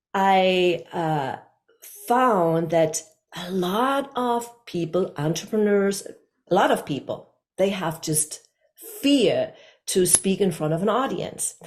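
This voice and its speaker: Long pauses come often, and the pace is very slow. The speaker has a German accent and lively intonation. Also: woman, medium pitch for a woman. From Germany, Hamburg. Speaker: communication coach. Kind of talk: interview.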